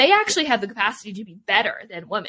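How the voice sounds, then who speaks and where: A woman with a Canadian accent talks in a bright, sharp tone. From Vancouver, Canada. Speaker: Olympic swimmer and author. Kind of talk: casual interview. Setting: video call.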